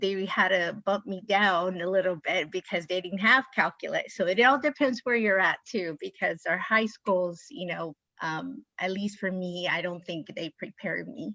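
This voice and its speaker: A woman's medium-pitched, bright, sharp voice with ordinary pitch variation, a fairly slow pace and a dry, close sound with no echo. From San Diego, near Mexican border. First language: Spanish. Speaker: panelist. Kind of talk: personal testimony.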